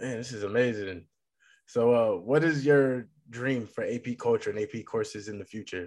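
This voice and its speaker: With a plain, everyday voice, a man speaks at a moderate pace and medium pitch, ordinary pitch variation and big swings in loudness, against a quiet background. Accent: American. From Massachusetts. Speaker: podcast host. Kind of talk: interview. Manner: casual.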